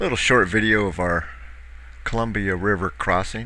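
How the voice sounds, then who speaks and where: A man speaks in a bright, sharp tone marked by vocal fry. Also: dry sound with no echo. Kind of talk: casual vlog chat. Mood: relaxed, cheerful. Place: boat.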